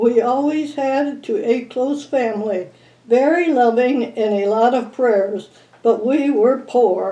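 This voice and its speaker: With an Upper Midwest accent, a woman talks very slowly at a high pitch with ordinary pitch variation. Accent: Upper Midwest American. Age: 90s. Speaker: local elder sharing memories. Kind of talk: oral history recollection.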